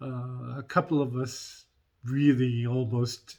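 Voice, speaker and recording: Delivered in a put-on character voice, the words come out at a very slow pace. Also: man. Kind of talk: in-character roleplay vlog. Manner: hesitant, rambling storytelling.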